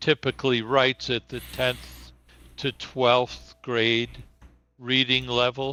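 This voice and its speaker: Delivered very slowly, the speech has a bright, sharp tone and a monotone, flat intonation. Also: man, medium pitch for a man, dry, close sound with no echo. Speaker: teacher. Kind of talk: interview. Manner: slow, searching for words.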